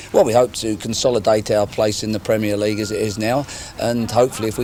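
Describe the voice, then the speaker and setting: Noticeable background noise accompanies the recording. A man speaks at a very fast pace. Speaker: football manager. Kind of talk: interview answer.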